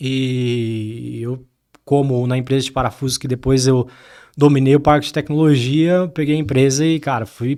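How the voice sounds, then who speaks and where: In a dark, mellow tone, a man at medium pitch speaks at a moderate pace with fairly even intonation. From Brazil, Diadema (São Paulo). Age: 30s. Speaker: tech company co-founder and CTO. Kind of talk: interview.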